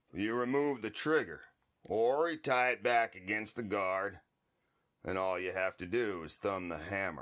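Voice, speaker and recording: In a put-on character voice, a man speaks with a raspy, fairly low pitch, a calm tone and lively intonation at a moderate pace, on a very clean recording with a silent background. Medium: audio drama. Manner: calm, laconic.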